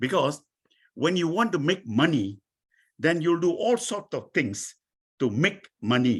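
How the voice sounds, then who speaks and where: A man's pitch swings very widely while his pace stays very slow. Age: 80s+. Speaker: entrepreneur. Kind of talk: interview. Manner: halting.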